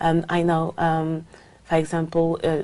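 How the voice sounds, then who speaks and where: A woman with a French accent and a fairly low pitch. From France. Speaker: language exam candidate. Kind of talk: speaking exam interview. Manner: halting, many fillers.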